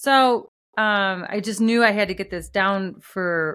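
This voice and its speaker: This woman has an unremarkable speaking voice at a medium pitch with ordinary variation, heard on a very clean recording with a silent background. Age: 40s. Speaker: attorney and author. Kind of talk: interview.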